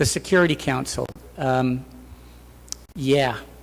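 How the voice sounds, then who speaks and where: A man speaks with an English accent. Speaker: professor and keynote speaker. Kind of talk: Q&A answer at academic conference. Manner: hesitant, many fillers.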